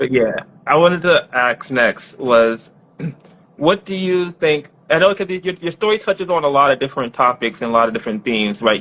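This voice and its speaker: Here a man speaks with an unremarkable speaking voice. His pace is fairly quick and his intonation lively. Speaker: interviewer, film night host. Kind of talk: casual interview questions.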